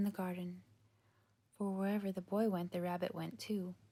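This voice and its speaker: Soft-spoken and gentle in tone, the speaker moves at a moderate pace. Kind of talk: softly spoken bedtime story reading, ASMR. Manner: soft-spoken, gentle.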